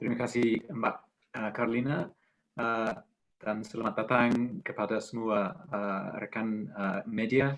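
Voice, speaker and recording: A man's medium-pitched voice in an English accent at a very slow pace. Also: ordinary pitch variation. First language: English (speaking Indonesian). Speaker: ambassador. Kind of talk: press conference speech. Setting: online webinar. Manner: halting, many fillers.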